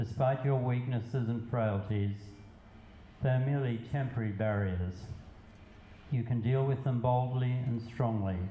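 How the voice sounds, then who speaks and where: The speaker talks at a fairly slow pace with long, frequent pauses and very even loudness. The tone is dark, mellow and somewhat breathy, with fairly even intonation. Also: man, medium pitch for a man. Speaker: poet. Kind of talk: poetry reading.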